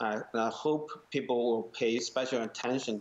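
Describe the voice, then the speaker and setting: A man with a Chinese accent, moderate pace and ordinary pitch variation. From rural China. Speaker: molecular geneticist, media executive; guest. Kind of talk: panel discussion. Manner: halting, many fillers. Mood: serious, concerned.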